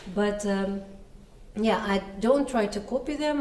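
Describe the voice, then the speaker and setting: A woman speaks with a Russian accent at a medium pitch. Noticeable background noise and audible room echo are present. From Russia (Yekaterinburg, Urals). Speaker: singer-songwriter. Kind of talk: interview. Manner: hesitant with fillers.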